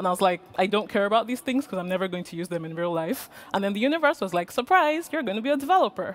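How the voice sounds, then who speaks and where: Loud and very fast, the voice races with hardly any pauses and very wide pitch swings over noticeable background noise. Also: woman, medium pitch for a woman. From Nigeria, Lagos. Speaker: conference speaker, front-end developer. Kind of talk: conference talk. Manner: projecting loudly.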